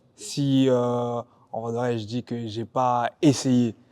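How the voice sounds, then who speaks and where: Dark, mellow tone in a man's voice of medium pitch. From France, Paris suburbs (Val-d'Oise). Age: 20s. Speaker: basketball player. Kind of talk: casual chat.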